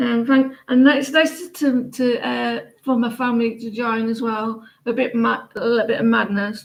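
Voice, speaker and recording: A woman with an English accent speaks at a moderate pace and fairly high pitch, with fairly even intonation. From England. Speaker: tarot reader. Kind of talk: casual chat. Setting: live stream. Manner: halting.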